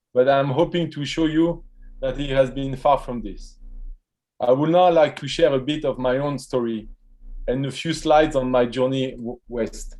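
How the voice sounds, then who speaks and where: Man with a French accent and fairly high pitch, at a moderate pace with fairly even intonation, music in the background. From France, French Riviera. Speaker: professor. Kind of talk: keynote speech. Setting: virtual event.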